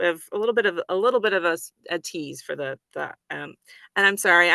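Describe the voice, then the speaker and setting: A woman's medium-pitched voice with an American accent at a very fast pace, dry and close with no echo. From American Midwest. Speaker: panel moderator at a book event.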